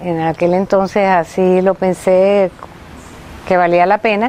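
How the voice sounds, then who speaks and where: Noticeable background noise is present. Over it, a woman talks at a very slow pace. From Venezuela, Maracay. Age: 60s. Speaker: anthropologist, retired professor. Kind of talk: interview testimony. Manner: halting.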